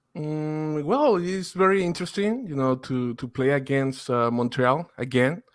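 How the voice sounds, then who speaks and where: A man in a Spanish accent talks at a fairly slow pace with hardly any pauses, his pitch fairly high. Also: lively intonation. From Mexico (Torreon). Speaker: football podcaster, guest. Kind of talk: casual podcast interview.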